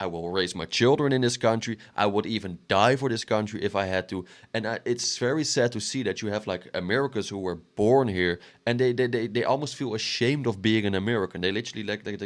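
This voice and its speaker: A man's fairly low voice at a very fast pace with ordinary pitch variation, in a very clean recording with a silent background. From Western Europe. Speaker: reaction commentator. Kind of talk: reaction commentary. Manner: halting, repeats words.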